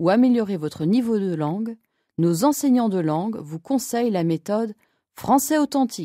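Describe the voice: In a very clean recording with a silent background, a woman speaks at a moderate pace with a dark, mellow tone and lively intonation, the sound dry and close with no echo.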